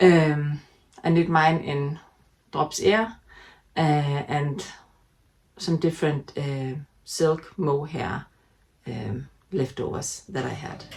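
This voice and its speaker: Somewhat breathy and very deep in pitch, a woman with a Danish accent speaks at a very slow pace with long, frequent pauses, ordinary pitch variation and big swings in loudness. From Denmark. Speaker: knitting podcaster. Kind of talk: casual chat. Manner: halting, many fillers.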